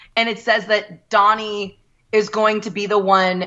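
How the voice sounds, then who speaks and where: A plain, everyday voice, a woman's, medium-pitched and moderately paced. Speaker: fan sharing her story. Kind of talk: casual storytelling.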